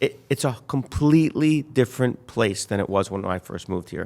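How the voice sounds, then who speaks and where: In an unremarkable speaking voice, a man talks at a medium pitch and a moderate pace. His intonation is lively. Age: 60s. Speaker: real estate developer. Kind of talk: interview. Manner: casual.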